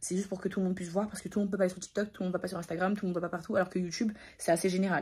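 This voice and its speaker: A woman with a medium pitch and a dark, mellow tone talks in a monotone, flat intonation, sounding somewhat breathy. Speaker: vlogger. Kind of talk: casual vlog talk to camera. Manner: fast.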